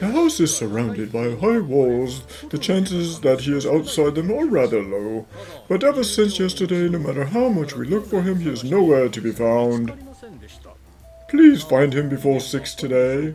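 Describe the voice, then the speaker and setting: A man puts on a character voice, pitched fairly high. He talks at a moderate pace over clear background noise. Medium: fan dub. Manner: imperious, demanding.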